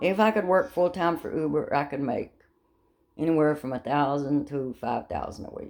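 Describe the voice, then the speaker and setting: A woman's very deep, low voice swings widely in loudness. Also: ordinary pitch variation, moderate pace. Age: 70s. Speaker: vlogger and rideshare driver. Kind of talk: casual monologue vlog. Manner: animated.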